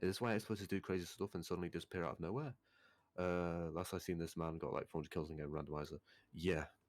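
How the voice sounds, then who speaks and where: With a Manchester accent, a man talks at a very fast pace in a very deep, low voice with ordinary pitch variation. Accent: northern English (Manchester area). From northern England, near Manchester. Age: young. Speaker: game developer. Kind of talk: live Q&A stream. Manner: casual, filler-heavy.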